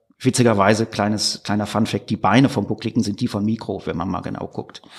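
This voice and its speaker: Man at a very fast pace, fairly low pitch, monotone and flat, with noticeable background noise. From Ruhr area, Germany (Gladbeck/Recklinghausen). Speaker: author and musician. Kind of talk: casual interview chat. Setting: studio, face to face.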